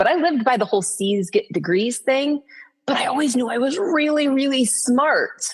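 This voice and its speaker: A woman with vocal fry at a fairly quick pace. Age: 40s. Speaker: podcast host, anxiety coach. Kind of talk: solo podcast monologue. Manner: fast; casual, conversational.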